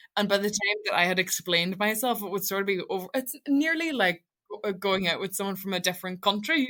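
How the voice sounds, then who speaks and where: A woman's very fast speech with a Donegal accent, medium pitch, a bright, sharp tone, lively intonation and hardly any pauses. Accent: Donegal Irish English. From Ireland, Donegal Gaeltacht. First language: Irish. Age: 20s. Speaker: radio presenter. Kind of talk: interview conversation. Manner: fast, mumbling; emotional when speaking about the language.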